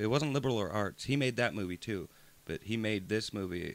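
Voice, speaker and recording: A man's fairly low voice with vocal fry, lively intonation and a very fast pace. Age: 20s. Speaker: podcast co-host. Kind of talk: casual chat.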